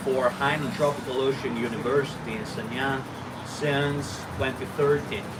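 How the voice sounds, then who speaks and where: In an Italian accent, a man with a fairly high pitch speaks at a moderate pace, with audible room echo and noticeable background noise. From Italy. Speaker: university lecturer. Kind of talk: casual interview chat.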